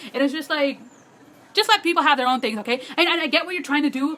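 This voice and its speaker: A woman's raised, projected, high-pitched voice, animated in tone, with lively intonation at a very fast pace over noticeable background noise. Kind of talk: casual vlog monologue. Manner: fast, filler-heavy.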